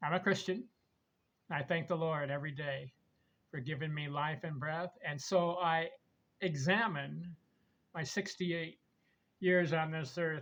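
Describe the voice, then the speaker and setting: Here a man talks in a fairly high pitch with ordinary pitch variation. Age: 60s. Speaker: retired landscaper, self-published author and baseball vlogger. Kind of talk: casual solo vlog monologue. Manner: rambling, repetitive delivery.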